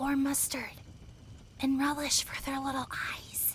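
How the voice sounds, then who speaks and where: A woman whispers in a put-on character voice at a fairly slow pace. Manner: upbeat.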